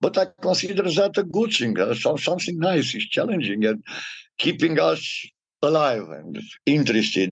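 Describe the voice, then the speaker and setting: With vocal fry, a man speaks at a moderate pace in a fairly high pitch. His pitch swings very widely. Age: 60s. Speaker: data protection consultant. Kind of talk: interview.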